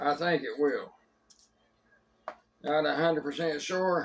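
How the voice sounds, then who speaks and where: A male speaker with an American accent. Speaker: home cook video host. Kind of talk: cooking tutorial. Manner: casual, folksy.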